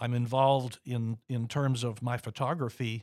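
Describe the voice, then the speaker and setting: On a very clean recording with a silent background, a man with an American accent speaks at a medium pitch in an ordinary speaking voice. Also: dry, close sound with no echo. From Florida. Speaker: retired photographer and city councilman. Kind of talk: casual radio interview. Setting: radio studio.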